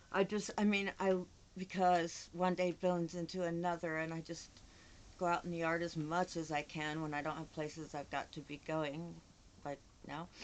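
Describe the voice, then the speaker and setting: A woman speaks at a moderate pace in a fairly low pitch with monotone, flat intonation. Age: 60s. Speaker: vlogger with Parkinson's. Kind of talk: casual monologue vlog. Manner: halting, repeating words.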